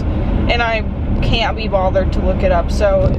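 A woman at a fairly slow pace, dry with no echo, amid loud background noise. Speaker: vlogger. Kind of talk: casual vlog chat. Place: car. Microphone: phone near.

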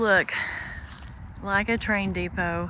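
The woman's voice sounds dry with no echo as she speaks at a fairly slow pace over light background noise. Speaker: travel vlogger. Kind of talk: casual vlog chat. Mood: curious, wondering aloud. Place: open country. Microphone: phone near.

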